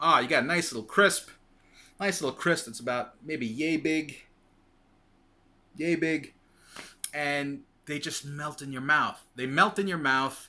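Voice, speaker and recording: A man's fairly high, bright and sharp voice in a New York accent, fairly slow with long, frequent pauses, ordinary pitch variation and big swings in loudness. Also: very clean recording, silent background. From New York City, Queens. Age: 40s. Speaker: weight loss vlogger. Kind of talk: casual vlog monologue. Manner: rambling, repetitive with many fillers.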